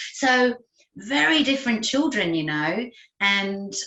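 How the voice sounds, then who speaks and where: A woman's voice with audible room echo. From England. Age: 50s. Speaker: occupational therapist. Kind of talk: interview. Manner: conversational with fillers.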